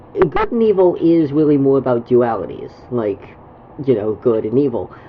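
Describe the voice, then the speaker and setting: Noticeable background noise sits behind a woman whose voice is very deep and low. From Canada. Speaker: gaming streamer. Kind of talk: casual chat. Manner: halting, many fillers and repetitions.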